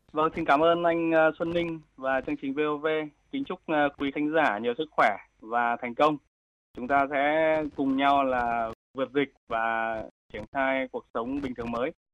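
This man's voice is fairly high in pitch, with ordinary pitch variation. He speaks at a fairly slow pace with long, frequent pauses. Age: 30s. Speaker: tech company founder. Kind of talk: radio interview.

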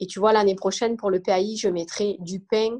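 A woman with an unremarkable speaking voice talks at a medium pitch with fairly even intonation. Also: quiet background. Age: 30s. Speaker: mother of a diabetic child. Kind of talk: testimony.

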